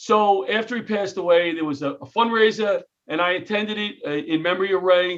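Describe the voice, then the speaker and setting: A man in a New York accent, ordinary pitch variation, moderate pace. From New York City (Queens). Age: 60s. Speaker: comedian and retired firefighter. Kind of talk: interview. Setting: video call.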